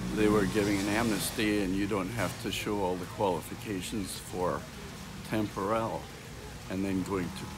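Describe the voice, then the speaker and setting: Noticeable background noise and audible room echo fill the recording. A man speaks through it at a moderate pace with a fairly low pitch. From Scotland. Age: 70s. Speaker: retired airline pilot. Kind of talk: street interview. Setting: outdoors, downtown street.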